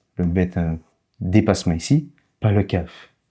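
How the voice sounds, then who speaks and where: A man speaks very slowly in a dark, mellow tone. The recording is very clean, with a silent background. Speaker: language teacher. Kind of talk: tutorial. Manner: slow, didactic.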